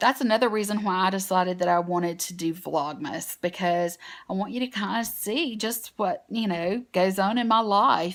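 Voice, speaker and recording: A woman speaks with a strong Southern US accent and ordinary pitch variation. The recording is very clean, with a silent background. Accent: strong Southern US twang. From US South. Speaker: beauty vlogger. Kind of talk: casual vlog talk to camera. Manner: chatty, with many fillers.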